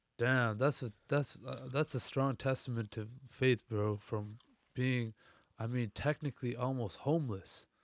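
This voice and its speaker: In an ordinary speaking voice, a man talks at a medium pitch and a fairly slow pace with fairly even intonation, the sound dry and close with no echo and the recording very clean over a silent background. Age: 20s. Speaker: podcast host. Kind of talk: scripted narration; casual chat.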